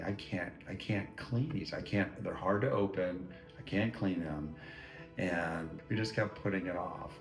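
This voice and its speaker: With music in the background, a man talks at a very slow pace in a very deep, low pitch with ordinary pitch variation. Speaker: retired homeowner. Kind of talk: customer testimonial interview. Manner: casual, hesitant, repeats words.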